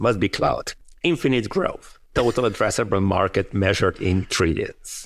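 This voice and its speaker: A man with a plain, everyday voice speaks at a fairly low pitch and a moderate pace, with ordinary pitch variation and very even loudness, on a very clean recording with a silent background. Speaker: network engineering expert and author. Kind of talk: interview.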